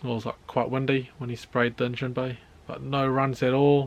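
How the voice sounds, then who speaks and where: A man's medium-pitched voice with a New Zealand accent at a moderate pace. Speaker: car project YouTuber. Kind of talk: casual vlog narration. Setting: outdoors, backyard carport.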